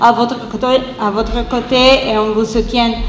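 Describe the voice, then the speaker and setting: In an Italian accent, a woman talks at a fairly slow pace with a fairly high pitch and flat, monotone intonation, amid noticeable background noise and audible room echo. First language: Italian (speaking French). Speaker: activist. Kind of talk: round table talk. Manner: halting.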